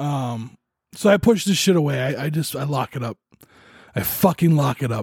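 A man with a fairly high pitch speaks at a moderate pace in a somewhat breathy voice, his intonation lively and his speech broken by long, frequent pauses, all in a dry, close sound with no echo. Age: 40s. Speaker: podcast host. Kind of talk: personal monologue. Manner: halting.

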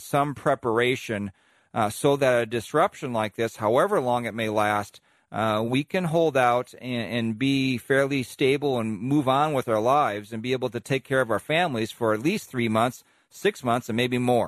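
A man with an American accent speaks at a moderate pace in a plain, everyday voice, medium in pitch with ordinary variation, the sound dry and close with no echo against a quiet background. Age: 50s. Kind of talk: radio commentary.

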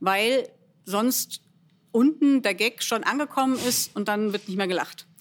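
A woman with an ordinary speaking voice talks at a fairly high pitch with ordinary pitch variation, on a very clean recording with a silent background. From Germany, Bielefeld. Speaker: actress and cabaret artist. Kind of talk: casual interview.

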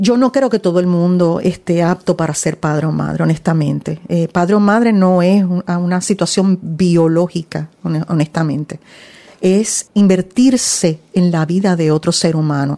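A woman with a fairly low pitch speaks at a fairly slow pace, with ordinary pitch variation and very even loudness. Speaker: social worker and counselor. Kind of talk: interview. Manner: animated.

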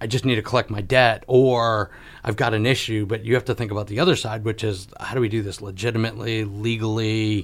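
A somewhat breathy voice at a fairly quick pace, in an American accent with fairly even intonation. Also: man. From Connecticut. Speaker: radio talk show host. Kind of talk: interview.

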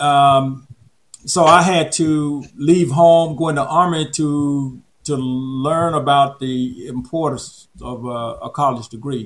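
With a Southern US accent, a man speaks at a very slow pace. His pitch is fairly high and his intonation fairly even. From Alabama. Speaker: retired public health official. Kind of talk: interview. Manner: halting.

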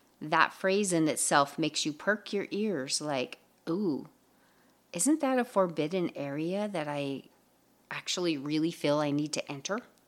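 A woman talks in an ordinary speaking voice, fairly low in pitch, with lively intonation at a fairly slow pace. The recording is very clean, with a silent background. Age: 50s. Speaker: podcast host, mindset coach. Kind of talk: solo motivational podcast talk.

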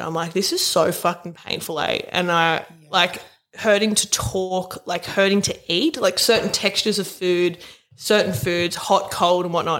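With an Australian accent, a woman speaks at a medium pitch with ordinary pitch variation. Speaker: podcast co-host. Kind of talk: casual, heavy swearing.

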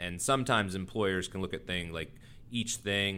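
A man's very deep, low voice with vocal fry and an American accent at a very fast pace. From Texas. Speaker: health insurance executive and physician. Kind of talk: interview.

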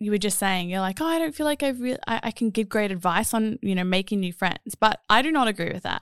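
In an Australian accent, a woman with a fairly high voice talks at a fairly quick pace with lively intonation, on a very clean recording with a silent background. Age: 30s. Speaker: podcast host. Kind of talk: casual chat.

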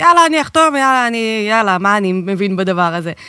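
On a very clean recording with a silent background, a woman with a medium pitch and a bright, sharp tone speaks at a fairly quick pace. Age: 30s. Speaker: podcast co-host, real estate investment advisor. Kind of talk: podcast interview.

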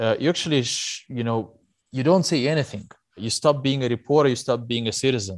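Against a quiet background, a man with a Russian accent talks at a fairly quick pace. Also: medium pitch for a man, ordinary pitch variation. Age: 30s. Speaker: investigative journalist. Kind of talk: interview. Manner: hesitant with fillers.

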